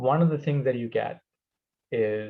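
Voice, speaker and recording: A man is speaking. He has a non-native accent. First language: not English. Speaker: presenter. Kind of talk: Q&A discussion. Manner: repetitive, stumbling.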